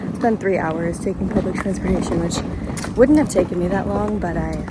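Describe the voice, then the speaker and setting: Through audible room echo and noticeable background noise, a woman speaks with an American accent. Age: 20s. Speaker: travel vlogger. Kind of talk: vlog commentary. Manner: casual.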